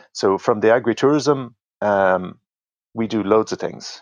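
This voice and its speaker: A man is heard against a quiet background. The sound is dry and close, with no echo. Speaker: alpaca farmer. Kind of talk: casual interview chat. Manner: conversational, hesitant with fillers.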